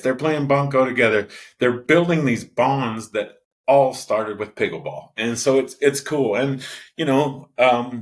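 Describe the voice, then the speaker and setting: A man at a medium pitch, with ordinary pitch variation and a moderate pace. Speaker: pickleball player. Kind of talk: interview. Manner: loud; halting, repeated words.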